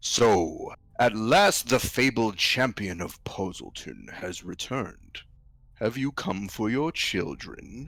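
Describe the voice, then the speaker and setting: Using a put-on character voice, a man speaks fairly slowly at a medium pitch. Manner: imperial, commanding.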